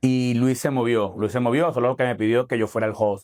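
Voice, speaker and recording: This is a man speaking. He has a Venezuelan accent. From Falcón, Venezuela. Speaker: stand-up comedian; lawyer. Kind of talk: interview answer.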